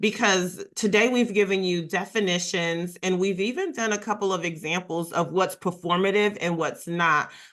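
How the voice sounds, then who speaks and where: Here a woman speaks at a medium pitch in a normal speaking voice. Behind her the background is quiet. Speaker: workshop facilitator on equity and inclusion. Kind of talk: webinar presentation.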